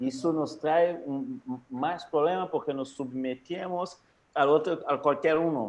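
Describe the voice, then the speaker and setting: Fairly slow speech from a man with a non-native accent. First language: Portuguese (speaking Spanish). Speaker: capoeira teacher and academic. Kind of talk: guest talk in online meeting. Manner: halting.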